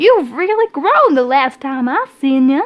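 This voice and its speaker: A put-on character voice at a moderate pace, with very wide pitch swings. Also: woman. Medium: read story.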